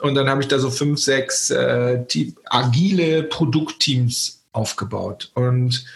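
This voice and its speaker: A man is speaking. Background noise is noticeable. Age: 40s. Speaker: growth hacking trainer and keynote speaker. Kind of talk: interview conversation. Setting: remote call. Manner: energetic.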